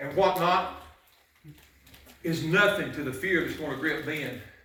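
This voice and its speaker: A man speaks at a moderate pace in a high voice. Audible room echo is present. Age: 60s. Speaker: pastor. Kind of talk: sermon. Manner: animated.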